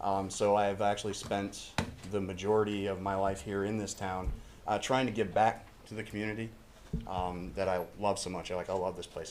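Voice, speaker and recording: A man speaks with an American accent at a fairly low pitch and fairly quick pace, with audible room echo. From northern Maine, US. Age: 40s. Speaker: council applicant. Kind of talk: public comment at council meeting. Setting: city council meeting, podium. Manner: hesitant, many fillers.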